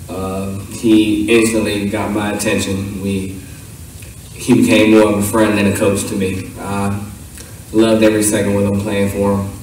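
Strong room echo surrounds a man speaking at a fairly low pitch. His tone is slightly mellow and his intonation is monotone and flat. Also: moderate pace.

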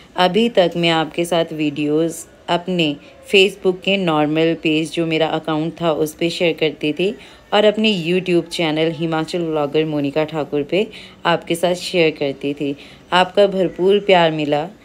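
A woman uses a plain, everyday voice, fairly low in pitch, with fairly even intonation. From Himachal Pradesh, India (Sundernagar, Mandi district); Himachal Pradesh, India. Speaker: vlogger and housewife; vlogger. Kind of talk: direct-to-camera vlog appeal. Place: open country. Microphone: phone near.

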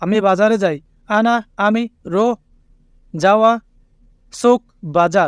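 A man speaks with a high-pitched voice. The sound is dry and close, with no echo. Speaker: language teacher YouTuber. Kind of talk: tutorial.

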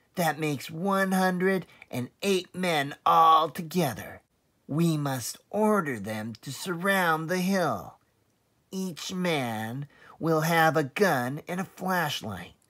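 This put-on character voice has a bright, sharp tone. It moves at a slow pace with lively intonation. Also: man, fairly high pitch for a man.

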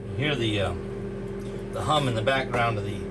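A man over loud background noise. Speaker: presenter. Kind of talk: tutorial. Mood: relaxed, light joking. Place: kitchen.

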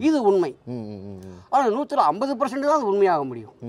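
Very wide pitch swings in the voice of a man. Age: 50s. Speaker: parrot astrologer. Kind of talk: interview. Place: street. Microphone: lapel.

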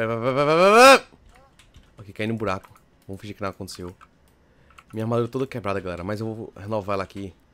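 A man's very fast delivery at fairly low pitch, with ordinary pitch variation, big swings in loudness, and long, frequent pauses. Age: young. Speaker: gaming youtuber. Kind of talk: gameplay commentary. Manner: animated. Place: home room.

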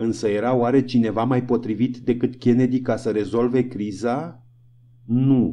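Speaking at a fairly slow pace, a man has a dark, mellow tone and a monotone, flat intonation. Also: medium pitch for a man. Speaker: audiobook narrator. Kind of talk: audiobook reading. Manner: even, measured narrator's pace, voicing dialogue in a restrained storytelling tone.

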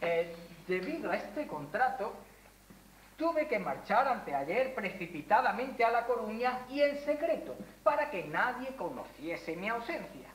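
Over light background noise and audible room echo, a woman speaks with very wide pitch swings. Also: fairly slow pace. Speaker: stage actor. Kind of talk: theatrical dialogue, projected delivery. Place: stage. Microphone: camera far.

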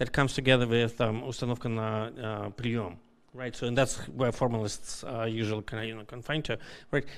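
Moving at a fairly quick tempo, a male speaker keeps his intonation fairly even. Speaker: audience member. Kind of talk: academic Q&A. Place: hall.

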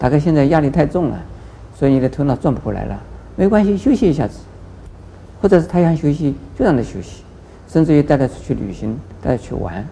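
A man talks very fast with lively intonation and vocal fry. His tone is dark and mellow, with light background noise behind him. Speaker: Buddhist monk teacher. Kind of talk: interview answer. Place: studio. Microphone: lapel.

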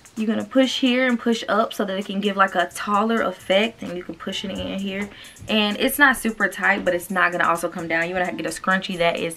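A woman uses a put-on character voice, raspy and medium in pitch. She speaks at a fairly quick pace over clear background noise. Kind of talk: casual, instructional. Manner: fast-talking, tutorial style.

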